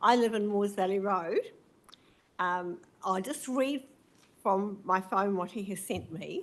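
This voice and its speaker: Speaking at a fairly slow pace, a woman with a New Zealand accent uses a medium pitch and ordinary pitch variation. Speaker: community association representative. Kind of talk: public submission read from phone. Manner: loud.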